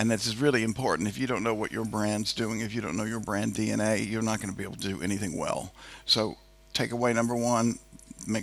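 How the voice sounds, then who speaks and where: Speaking fairly quickly with an American accent, a man uses a fairly low voice with vocal fry and fairly even intonation. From United States. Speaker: moderator, digital transformation executive. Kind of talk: on-stage interview. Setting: stage with audience.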